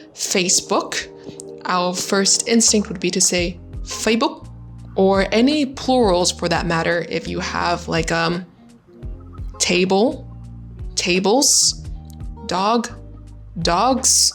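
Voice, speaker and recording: A woman at a very slow pace with long, frequent pauses, music in the background. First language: Vietnamese. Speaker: English tutor. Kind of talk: casual educational talk to camera.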